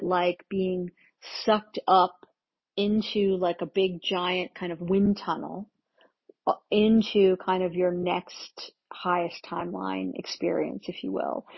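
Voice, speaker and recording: A woman speaks at a fairly slow pace with a medium pitch and flat, monotone intonation. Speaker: spiritual channeler. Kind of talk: channeled spiritual transmission monologue. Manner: casual, meandering with many fillers.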